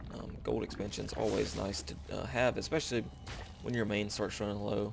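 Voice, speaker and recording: A fairly low-pitched man with a strong Southern US accent speaks at a moderate pace, with vocal fry and lively intonation. Audible room echo surrounds the voice. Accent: very southern US. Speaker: video game commentator. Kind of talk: live game commentary. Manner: hesitant, many filler words.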